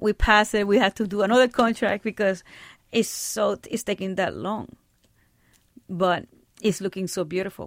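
Pausing long and often, a woman with a Spanish accent speaks in fairly even intonation, recorded very cleanly against a silent background with a dry, close sound and no echo. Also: medium pitch for a woman, moderate pace. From Puerto Rico. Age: 40s. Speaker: filmmaker. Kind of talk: interview.

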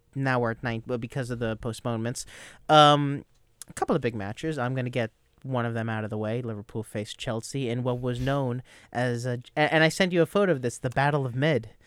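A man talks at a fairly quick pace with a medium pitch and a normal speaking voice. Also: ordinary pitch variation. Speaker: soccer radio show host. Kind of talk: casual sports panel chat. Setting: radio studio.

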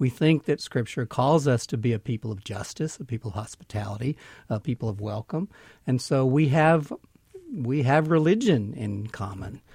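A man with a Southern US accent talks at medium pitch and a moderate pace, somewhat breathy. His tone is dark and mellow, his intonation lively. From Mississippi. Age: 50s. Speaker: minister. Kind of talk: interview. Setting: studio.

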